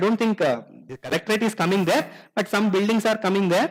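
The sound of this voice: A man talks at a fairly quick pace, his pitch high with ordinary variation.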